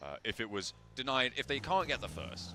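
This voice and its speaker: A man speaks with a bright, sharp tone and some vocal fry. His pitch swings very widely. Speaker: esports caster. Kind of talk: live commentary.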